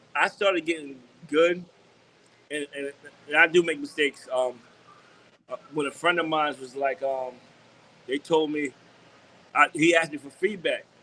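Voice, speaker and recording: With a New York accent, a man speaks in a fairly high voice at a moderate pace, his intonation fairly even, his loudness swinging widely, and his speech broken by long, frequent pauses. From New York (Long Island). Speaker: DJ and music executive. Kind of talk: interview. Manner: halting, repetitive.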